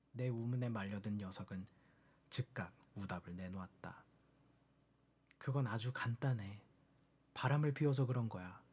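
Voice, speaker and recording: Calm in tone yet strained and somewhat breathy, a man speaks at a fairly slow pace and medium pitch with ordinary pitch variation. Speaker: audiobook reader. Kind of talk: book reading. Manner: calm, plain, restrained; soft-spoken ASMR style.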